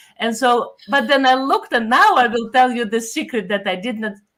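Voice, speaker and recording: With a Russian accent, a woman talks at a fairly quick pace in a fairly high voice. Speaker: pastor. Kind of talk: casual chat.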